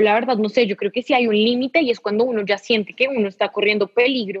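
A woman with a fairly high pitch and an unremarkable speaking voice. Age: 20s. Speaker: journalism graduate student. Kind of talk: interview.

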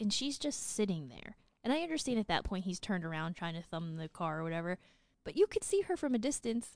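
The speaker has an Upper Midwest accent and a fairly quick pace. Pitch swings very widely over a quiet background. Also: woman. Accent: sounds Upper Midwest, like North Dakota. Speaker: podcast co-host. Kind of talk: casual chat.

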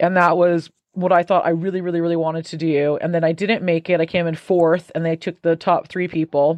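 Here a woman has a plain, everyday voice that sits fairly low in pitch. She talks at a fairly quick pace. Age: 40s. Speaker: author and music professor. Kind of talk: casual interview.

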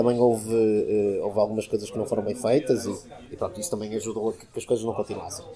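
Noticeable background noise beneath fairly quick speech. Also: man. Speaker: craft beer figure. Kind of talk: interview. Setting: bar. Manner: hesitant, many fillers.

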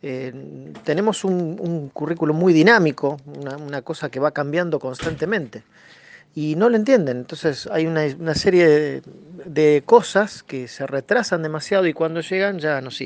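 A man with a Rosario accent speaks at a moderate pace in a fairly high pitch, with ordinary pitch variation and big swings in loudness. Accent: Argentine Spanish (Rosario, rioplatense). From Argentina, Santa Fe province near Rosario. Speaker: computer science teacher. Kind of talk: radio interview. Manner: hesitant, many fillers.

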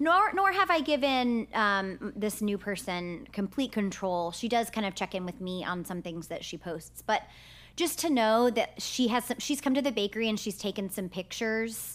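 With an American accent and a normal speaking voice, the speaker talks at a moderate pace with lively intonation. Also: woman, fairly high pitch for a woman, very clean recording, silent background. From Texas, Sugar Land near Houston. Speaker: bakery owner, entrepreneur. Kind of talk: casual interview chat. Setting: recording studio at co-working space.

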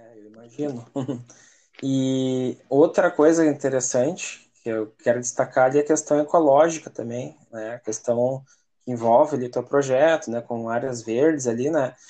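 This man talks at a fairly slow pace in a dark, mellow tone, his loudness swinging widely. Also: medium pitch for a man, fairly even intonation. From Parobé, Rio Grande do Sul, Brazil. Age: 30s. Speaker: podcast host. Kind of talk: casual interview.

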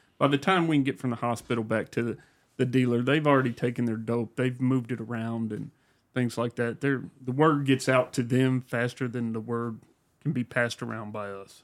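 This is a man with a medium pitch. He has an ordinary speaking voice. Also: fairly even intonation, fairly quick pace. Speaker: police officer. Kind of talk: casual chat.

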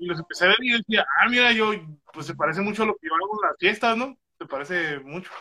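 A man with a high pitch talks at a very fast pace in a raised, projected voice, with lively intonation. His loudness swings widely, and the sound is dry and close with no echo. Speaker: stand-up comedian. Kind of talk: casual chat.

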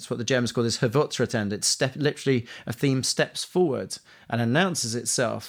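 A man at a medium pitch with a London accent and lively intonation, in a very clean recording with a silent background. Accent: Cockney-tinged London English. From East London, England. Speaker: composer. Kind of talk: interview conversation.

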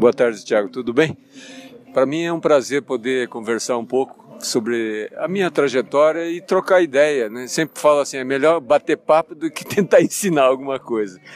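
A man with a fairly high pitch and ordinary pitch variation talks at a moderate pace, with a dry, close sound with no echo and noticeable background noise. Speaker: financial consultant. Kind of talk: interview.

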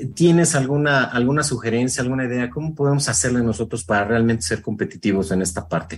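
A man speaks in a somewhat breathy voice. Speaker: radio host. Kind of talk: radio interview. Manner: fast.

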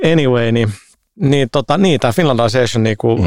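Vocal fry runs through a man's moderately paced speech, recorded with a dry, close sound and no echo. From Finland, Helsinki (Herttoniemi). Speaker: games industry entrepreneur. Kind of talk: casual chat.

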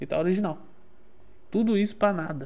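An animated tone at a moderate pace. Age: 20s. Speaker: car enthusiast streamer. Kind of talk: casual live stream chat. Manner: animated, slangy.

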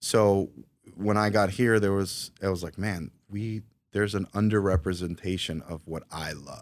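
A man with an unremarkable speaking voice and an American accent at a fairly low pitch and moderate pace, with fairly even intonation and big swings in loudness, in a very clean recording with a silent background. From New York City, Queens. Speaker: coffee shop owner. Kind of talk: interview.

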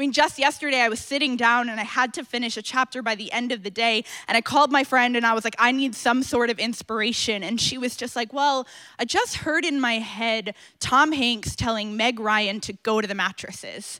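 A woman talks with a bright, sharp tone at a high pitch. She hardly pauses at all. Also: ordinary pitch variation, fairly quick pace. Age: 20s. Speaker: author and speaker. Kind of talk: conference talk. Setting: stage with audience.

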